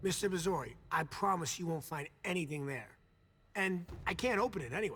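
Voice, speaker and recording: A man's put-on character voice, high-pitched, raspy and nervous in tone, at a fairly quick pace. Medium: video game. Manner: nervous, chatty.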